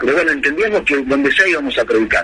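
A man's voice with noticeable background noise. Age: 40s. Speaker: pastor. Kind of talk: interview testimony.

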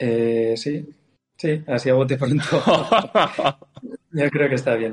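A man's medium-pitched voice at a very slow pace, with ordinary pitch variation. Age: 40s. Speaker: racing driver. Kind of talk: casual chat.

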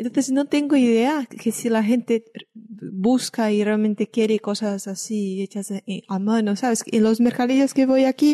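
A woman speaks at a fairly slow pace in a fairly high, somewhat breathy voice with a dark, mellow tone and ordinary pitch variation, the sound dry and close with no echo over a quiet background. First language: Portuguese (speaking Spanish). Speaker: podcast host. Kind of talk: interview.

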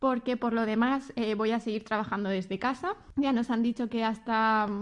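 Against a quiet background, a woman with an unremarkable speaking voice talks at a fairly slow pace, her fairly high pitch held to fairly even intonation. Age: 30s. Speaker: customer service worker. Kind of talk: interview answers.

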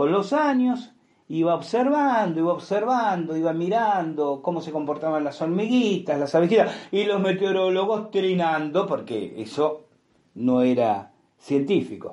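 A man's high voice in a Rioplatense accent, with very wide pitch swings. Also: fairly slow pace. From Argentina, Buenos Aires. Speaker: podcast host. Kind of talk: storytelling monologue. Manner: hesitant fillers and repetitions.

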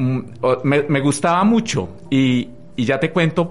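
There is noticeable background noise behind the speaker. A man's voice moves in very wide pitch swings. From Colombia, Tolima (Armero). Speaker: radio presenter and communications lecturer. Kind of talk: radio interview. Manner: halting, many fillers.

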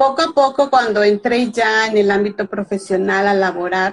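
With a Mexican accent, a woman speaks at a fairly slow pace and medium pitch. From Veracruz, Mexico. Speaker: author. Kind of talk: casual chat. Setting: Instagram live video.

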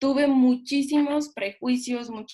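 A woman is speaking. Her pace is fairly slow. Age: 20s. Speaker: direct sales distributor. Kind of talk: testimony.

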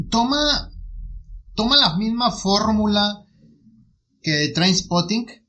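Here a man talks at a very slow pace. His pitch swings very widely. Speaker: podcast co-host, film reviewer. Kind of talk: casual chat.

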